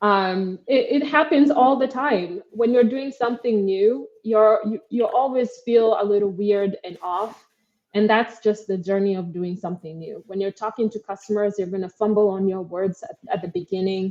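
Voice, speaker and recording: At a moderate pace and with hardly any pauses, a woman with an American accent speaks at a medium pitch, showing ordinary pitch variation and big swings in loudness. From Kenya. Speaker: startup co-founder. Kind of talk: interview. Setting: live video show.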